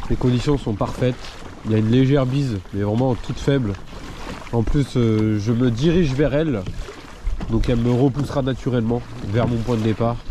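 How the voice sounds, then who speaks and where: Speech at a moderate pace with fairly even intonation comes through noticeable background noise, broken by long, frequent pauses. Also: man, medium pitch for a man. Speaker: fishing video creator. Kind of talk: casual vlog narration. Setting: outdoors on a kayak at sea.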